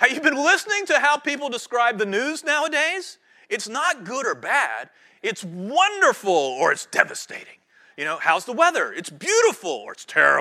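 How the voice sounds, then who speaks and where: In a very clean recording with a silent background, a man speaks in an extremely high pitch with a bright, sharp tone at a moderate pace. His raised, projected voice swings very widely in pitch and greatly in loudness. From North Carolina Piedmont (High Point). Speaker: pastor. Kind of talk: sermon.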